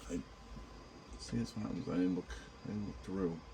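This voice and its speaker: A man is speaking. He has a New York accent. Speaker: miniature painting youtuber. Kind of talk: painting tutorial. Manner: casual, halting with fillers.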